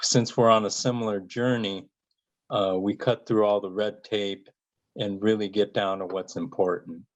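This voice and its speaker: Fairly low in pitch, a man speaks at a fairly slow pace with fairly even intonation. The background is quiet. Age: 60s. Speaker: cancer survivor. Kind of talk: interview. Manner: halting, many fillers and repetitions.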